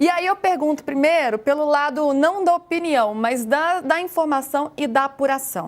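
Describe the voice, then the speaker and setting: Speaking in a Minas Gerais accent, a woman with a high pitch keeps her loudness very even and hardly pauses. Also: ordinary pitch variation, moderate pace. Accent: Minas Gerais Brazilian. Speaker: sports show host. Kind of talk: sports talk show.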